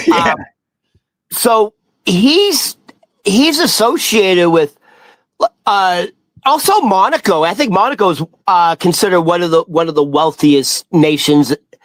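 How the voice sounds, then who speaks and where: The speaker has a Boston accent and a fairly slow pace. Long pauses come often. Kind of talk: casual, profane. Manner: casual, halting, many fillers.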